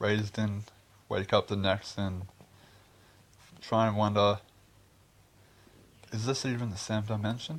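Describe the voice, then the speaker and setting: A man talks at a fairly low pitch with an Australian accent. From Australia, Queensland. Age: 20s. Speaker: video blogger. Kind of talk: casual monologue vlog. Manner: rambling, hesitant.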